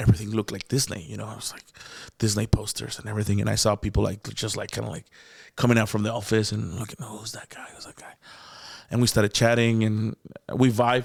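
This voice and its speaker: This man's pitch is fairly low. He talks at a very fast pace. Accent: Mexican. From Mexico. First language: Spanish. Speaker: comedian. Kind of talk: casual chat. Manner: animated; stammering repetitions.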